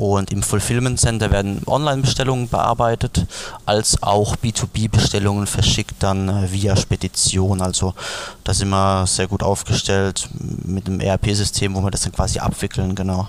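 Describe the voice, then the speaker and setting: A man talks in an unremarkable speaking voice. He goes at a fairly slow pace with fairly even intonation. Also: fairly low pitch for a man. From Palatinate, Germany. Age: 20s. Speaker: beverage brand founder. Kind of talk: interview.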